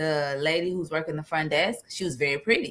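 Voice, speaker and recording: On a very clean recording with a silent background, a woman speaks in a bright, sharp, animated tone. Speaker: podcast co-host. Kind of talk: casual chat. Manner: loud.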